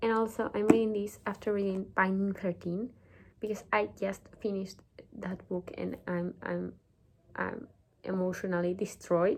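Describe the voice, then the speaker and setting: Speaking at a moderate pace with long, frequent pauses, a woman with a non-native accent and a medium pitch keeps a fairly even intonation. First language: not English. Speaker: book vlogger. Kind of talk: casual talk to camera.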